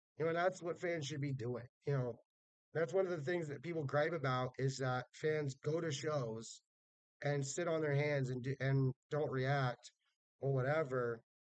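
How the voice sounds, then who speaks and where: A loud man with a fairly high pitch and fairly even intonation is captured with a dry, close sound and no echo. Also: moderate pace. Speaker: wrestling fan vlogger. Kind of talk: casual vlog review. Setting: hotel room. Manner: naturally loud.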